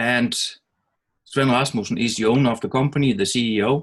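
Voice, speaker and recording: A man with a Danish accent. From Denmark. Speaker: network marketer. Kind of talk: webinar presentation.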